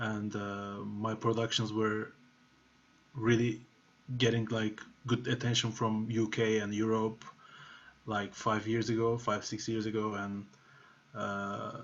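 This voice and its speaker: Speaking fairly slowly with a Turkish accent, a man keeps a fairly low pitch and a monotone, flat intonation. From Turkey. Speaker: music producer. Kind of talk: masterclass talk. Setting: video call. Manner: casual, filler-heavy. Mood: relaxed, reflective. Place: home room. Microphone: webcam.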